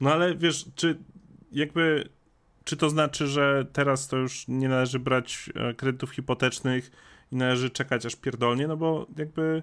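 A man with an ordinary speaking voice and a fairly high pitch talks at a moderate pace with fairly even intonation, in a very clean recording with a silent background. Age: 30s. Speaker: streamer. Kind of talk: casual chat.

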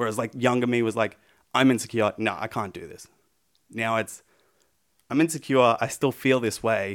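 A man speaks with an Australian accent at a moderate pace. His pitch sits at a medium level with fairly even intonation. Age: 20s. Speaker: pro wrestler. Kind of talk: casual interview chat.

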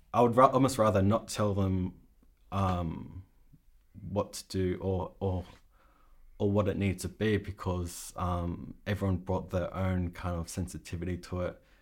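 The recording is very clean with a silent background. A speaker with an Australian accent talks at a fairly slow pace with fairly even intonation. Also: man, very deep, low pitch for a man. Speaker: sound supervisor. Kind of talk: casual interview.

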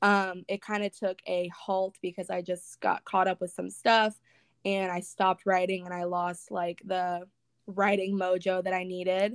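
A woman with an American accent speaks at a medium pitch and a fairly slow pace, monotone and flat. The recording is very clean with a silent background, and the sound is dry and close with no echo. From Northern California. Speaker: Instagram influencer and graphic designer. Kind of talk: casual interview.

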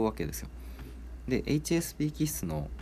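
A man's voice with vocal fry and very wide pitch swings, at a moderate pace. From Kansai, Japan. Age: 30s. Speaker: podcast host. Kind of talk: casual solo talk.

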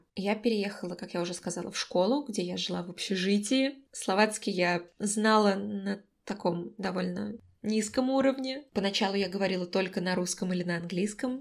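An ordinary speaking voice comes through a very clean recording with a silent background, at a moderate pace with ordinary pitch variation. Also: woman, medium pitch for a woman. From Moscow, Russia. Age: 20s. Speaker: podcast co-host, recent graduate. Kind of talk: casual chat. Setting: call.

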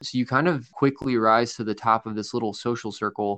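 A man with an ordinary speaking voice talks at a medium pitch with ordinary pitch variation, the sound dry and close with no echo. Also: quiet background. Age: 20s. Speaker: podcast co-host. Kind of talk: casual chat.

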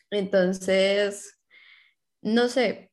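A woman's medium-pitched voice with fairly even intonation over a quiet background. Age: 20s. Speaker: content creator. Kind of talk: casual chat.

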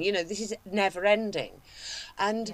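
A woman speaks in a plain, everyday voice at a fairly quick pace. Her pitch is fairly high. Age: 50s. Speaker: podcast co-host. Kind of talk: casual chat.

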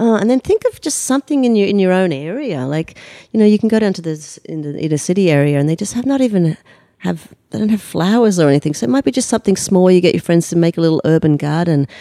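In an Australian accent, a woman speaks very fast at a medium pitch with very wide pitch swings, her dark, mellow tone captured in a dry, close sound with no echo. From Australia, Sydney outskirts. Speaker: humanitarian relief founder. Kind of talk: interview conversation. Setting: guest's home.

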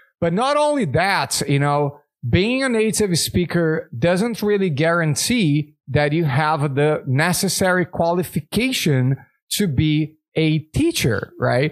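In a Portuguese accent, a man with a fairly high voice speaks very slowly with lively intonation. His loudness stays very even on a very clean recording with a silent background. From Brazil. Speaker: English teacher and podcast host. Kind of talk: casual chat.

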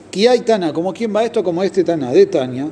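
There is noticeable background noise. A man talks at a high pitch with ordinary variation. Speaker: Talmud teacher. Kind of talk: lecture.

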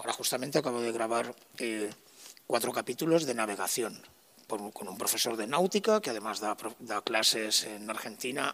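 A man's medium-pitched voice with a bright, sharp tone, ordinary pitch variation and a moderate pace. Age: 50s. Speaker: sound technician and musician. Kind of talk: interview.

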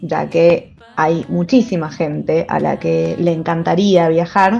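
Music plays behind a woman's voice. She speaks at a fairly slow pace with a fairly low pitch. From Mendoza, Argentina. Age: 30s. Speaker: historian and researcher. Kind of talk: personal testimony and explanation.

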